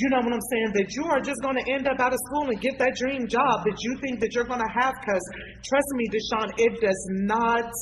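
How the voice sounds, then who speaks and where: A woman talks at a fairly quick pace with an animated tone and a high pitch. Noticeable background noise runs under her voice. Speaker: community activist, talk show panelist. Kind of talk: panel discussion.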